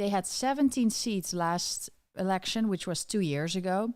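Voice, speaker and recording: The recording is very clean, with a silent background. A woman speaks at a moderate pace and medium pitch, with ordinary pitch variation. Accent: Dutch. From Netherlands. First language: Dutch. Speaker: political commentator. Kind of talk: live stream commentary. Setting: Twitter Spaces live audio.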